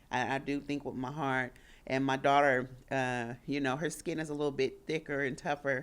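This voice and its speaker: At a moderate pace, a woman speaks in a very deep, low pitch with monotone, flat intonation, in a very clean recording with a silent background. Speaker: grieving widow. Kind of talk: emotional interview. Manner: halting.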